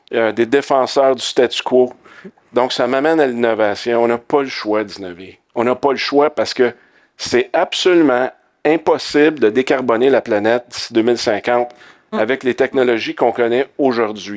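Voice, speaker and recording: A man at a fairly slow pace with ordinary pitch variation, in a quiet background. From Quebec. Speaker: tech company co-founder; panelist. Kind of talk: panel discussion. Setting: conference stage with audience. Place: stage. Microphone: headset.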